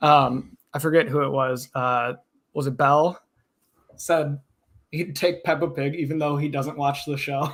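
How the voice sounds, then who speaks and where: A man speaks at a fairly high pitch with fairly even intonation. Long, frequent pauses break up his speech. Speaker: fantasy football analyst. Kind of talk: casual chat. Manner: fast.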